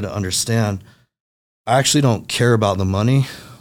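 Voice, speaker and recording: On a very clean recording with a silent background, a man has a normal speaking voice, fairly low in pitch, at a fairly quick pace. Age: 30s. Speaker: sales company vice president. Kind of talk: casual interview chat.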